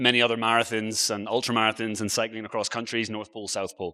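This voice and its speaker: Recorded very cleanly against a silent background, a man with an Irish accent speaks at medium pitch in a bright, sharp tone. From Ireland (Galway, Aran Islands). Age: 40s. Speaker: travel blogger and speaker. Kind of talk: conference talk. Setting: stage with audience. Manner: casual, conversational.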